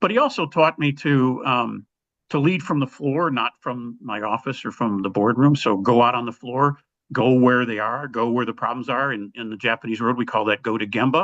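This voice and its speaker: A man with an American accent and an unremarkable speaking voice talks at a moderate pace and medium pitch, with ordinary pitch variation. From US Midwest, Chicago. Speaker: army veteran and business leader. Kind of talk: storytelling in a leadership interview.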